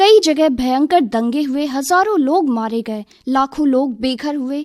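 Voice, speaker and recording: A woman's voice with lively intonation. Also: dry, close sound with no echo. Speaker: talk presenter on a radio youth programme. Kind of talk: radio talk.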